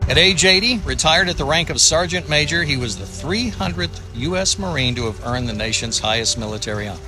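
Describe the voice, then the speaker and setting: A man at medium pitch talks at a fairly quick pace with very wide pitch swings. Music plays in the background. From United States. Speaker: professional voice over artist and storyteller. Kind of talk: documentary-style military biography narration.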